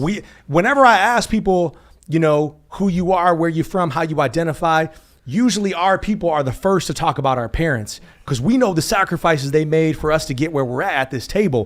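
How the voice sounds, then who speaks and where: A man speaks loudly at a high pitch with lively intonation. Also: fairly quick pace. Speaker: show host. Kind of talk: casual chat. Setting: studio.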